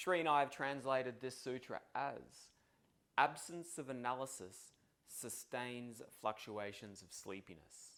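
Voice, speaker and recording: Speaking slowly-ish with an Australian accent, a man at medium pitch shows ordinary pitch variation and big swings in loudness. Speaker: yoga philosophy teacher. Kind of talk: tutorial. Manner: casual.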